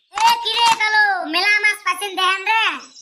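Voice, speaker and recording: A woman's cartoonish character voice, extremely high-pitched and flat in intonation, at a fairly quick pace. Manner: brash, loud.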